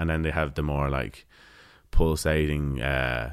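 The speaker has a Dublin accent and a flat, monotone delivery. The recording is very clean, with a silent background. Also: man. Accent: Irish (Dublin). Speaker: folk musician. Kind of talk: casual interview. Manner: halting.

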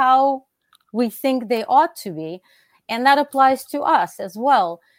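A woman with a Russian accent speaks at a high pitch with very wide pitch swings. The sound is dry and close, without echo. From Russia (Soviet Union). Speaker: philosophy professor. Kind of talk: interview.

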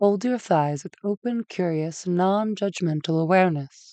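Here is a woman in a plain, everyday voice. She talks at a medium pitch with ordinary pitch variation. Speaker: meditation guide. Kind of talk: guided meditation. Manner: slow, soothing, gentle; calm, measured, with long pauses.

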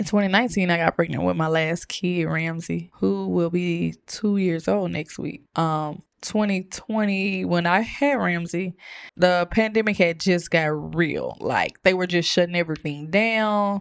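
A woman with an unremarkable speaking voice talks at a fairly slow pace in a fairly low pitch, with ordinary pitch variation and a quiet background. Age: 20s. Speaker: churchgoer sharing testimony. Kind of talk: testimony.

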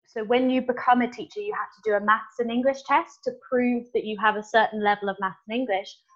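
A woman in a plain, everyday voice, fairly high in pitch and fairly quick, with ordinary pitch variation and hardly any pauses. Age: 20s. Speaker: secondary school teacher. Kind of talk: interview.

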